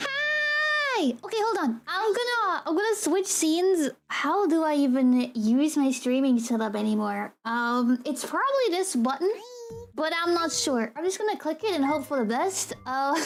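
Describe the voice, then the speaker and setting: An animated tone at a fairly slow pace, with very wide pitch swings, very even loudness and noticeable background noise. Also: woman, high pitch for a woman. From Germany. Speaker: vtuber streamer. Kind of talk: casual live-stream chat. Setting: live stream at home.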